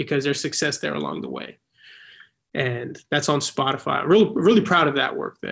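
A man with a fairly high pitch has a plain, everyday voice. The recording is very clean, with a silent background. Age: 20s. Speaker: actor and filmmaker. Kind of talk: casual interview.

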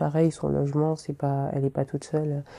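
A woman speaks fairly quickly at a very deep, low pitch, in a dark, mellow tone. Her intonation is flat and monotone, and the recording is very clean with a silent background. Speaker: podcaster. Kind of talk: casual monologue.

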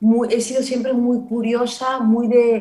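A woman speaks with a Barcelona accent. Her fairly high voice moves at a very slow pace. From Barcelona, Spain. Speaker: actress and comedian. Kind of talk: casual chat.

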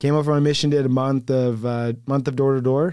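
A man's medium-pitched voice with an American accent, dark and mellow in tone, fairly even in intonation, at a moderate pace. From southern Utah. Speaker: door-to-door salesman. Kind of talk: casual chat.

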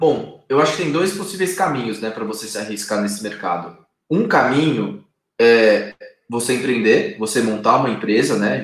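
With ordinary pitch variation, the speaker keeps to a moderate pace. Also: man. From Brazil, São Paulo state (Arujá). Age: 30s. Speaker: company co-founder. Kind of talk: interview. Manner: hesitant, many fillers.

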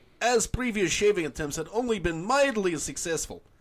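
The intonation is lively. It belongs to an unforced reading voice.

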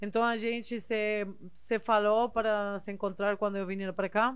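The recording is very clean with a silent background as a woman speaks with fairly even intonation. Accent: Spanish. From southern Spain, Seville. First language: Spanish (speaking Portuguese). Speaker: body piercer and body modification artist. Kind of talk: casual interview chat.

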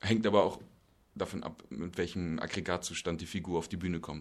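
Here a man speaks at a very deep, low pitch. His intonation stays fairly even. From Berlin, Germany. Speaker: stage actor. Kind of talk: casual interview. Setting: theatre make-up room.

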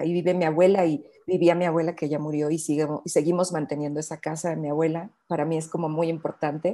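A very fast delivery in a Mexican accent, dark and mellow in tone, monotone and flat, with hardly any pauses. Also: woman, fairly low pitch for a woman. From Mexico, Bajío region. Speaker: bio-artist and researcher. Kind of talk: interview conversation.

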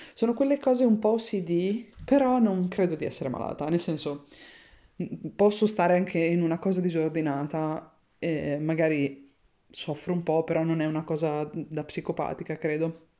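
A woman at a fairly low pitch, lively intonation, moderate pace and long, frequent pauses. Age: 30s. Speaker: podcaster. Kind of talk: personal audio diary.

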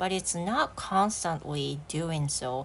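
A woman's fairly low voice moves along very slowly, its pitch rising and falling in an ordinary way. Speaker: English teacher. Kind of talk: solo podcast monologue, bilingual. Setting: home living room. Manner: relaxed.

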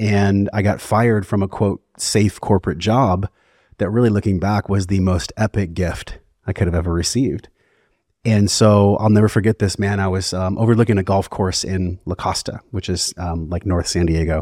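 This is a man with a normal speaking voice. He keeps a moderate pace and fairly even intonation. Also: fairly low pitch for a man. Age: 40s. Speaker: wellness podcast host and breathwork facilitator. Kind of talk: casual chat; guided breathing instruction.

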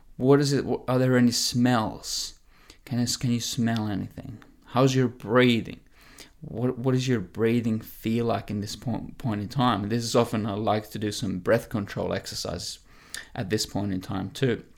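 Using a normal speaking voice, a man talks at a moderate pace and medium pitch with fairly even intonation. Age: 20s. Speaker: health and fitness coach. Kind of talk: solo podcast monologue.

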